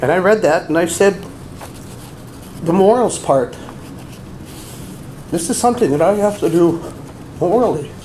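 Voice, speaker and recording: A man's high voice with long, frequent pauses, noticeable background noise and audible room echo. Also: ordinary pitch variation, moderate pace. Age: 60s. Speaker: abuse survivor and deacon candidate. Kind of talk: testimony. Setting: press conference.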